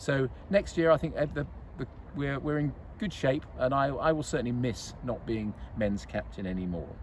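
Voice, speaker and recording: A man with a medium pitch and a somewhat breathy voice speaks at a moderate pace with lively intonation. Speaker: golf club captain. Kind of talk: casual club update. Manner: halting.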